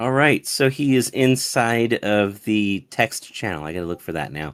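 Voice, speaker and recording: Here a man is talking. His pace is fairly slow. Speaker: online community moderator hosting a Q&A. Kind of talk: live online event hosting. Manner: formal.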